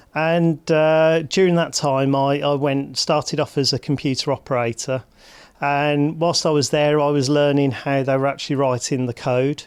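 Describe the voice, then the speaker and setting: On a very clean recording with a silent background, a man with a Birmingham accent speaks at a fairly high pitch and moderate pace, in a monotone, flat intonation with very even loudness. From Birmingham, England. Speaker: hospital digital executive. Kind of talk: interview.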